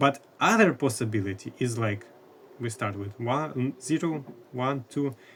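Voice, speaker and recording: With a non-native accent, a man speaks at a medium pitch with ordinary pitch variation. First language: not English. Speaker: math educator. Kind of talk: lecture. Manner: halting.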